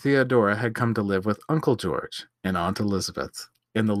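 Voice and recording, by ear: Someone reads aloud in a natural voice with ordinary pitch variation over a quiet background.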